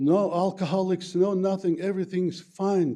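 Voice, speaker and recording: Heard against a quiet background, this dark, mellow voice moves at a fairly slow pace with a non-native accent. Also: man. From former USSR, Plattdeutsch-speaking German community. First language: Plautdietsch (Low German), then Russian. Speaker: resident speaking at public comment. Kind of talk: public comment at county board meeting. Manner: halting, many fillers.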